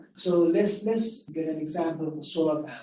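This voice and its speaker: A soft-spoken man talks at a moderate pace with a fairly high pitch. His tone is dark and mellow, and audible room echo surrounds it. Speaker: carbon markets consultant. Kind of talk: webinar presentation. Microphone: too quiet, far from the mic.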